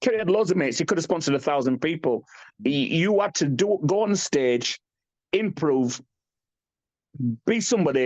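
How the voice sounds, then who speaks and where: Speaking with a British accent, the voice moves at a fairly quick pace with an animated tone and lively intonation. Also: man. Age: 50s. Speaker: bodybuilder. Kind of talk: podcast interview.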